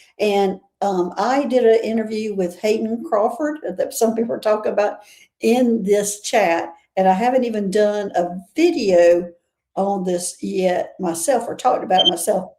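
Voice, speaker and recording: In a Southern US accent, a woman talks at a medium pitch and a moderate pace. Her tone is dark and mellow, with ordinary pitch variation. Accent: Southern US accent, noticeable. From US South. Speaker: interview show host. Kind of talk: casual interview chat.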